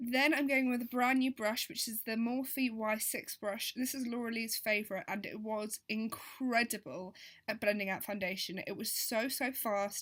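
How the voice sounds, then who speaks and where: A woman's fairly high voice in an English accent, at a moderate pace with fairly even intonation and hardly any pauses. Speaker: beauty vlogger. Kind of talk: voiceover tutorial. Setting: voiceover recording.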